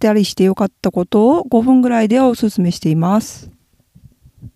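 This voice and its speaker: On a very clean recording with a silent background and a dry, close sound with no echo, a woman speaks at a moderate pace with a medium pitch, ordinary pitch variation and a dark, mellow tone. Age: middle-aged. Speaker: illustrator and manga artist podcaster. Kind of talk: casual solo talk. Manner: chatty, laughing.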